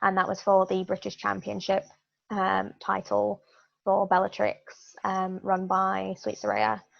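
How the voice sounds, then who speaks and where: Fairly unhurried female speech in an English accent. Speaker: pro wrestler. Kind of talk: interview. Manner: halting.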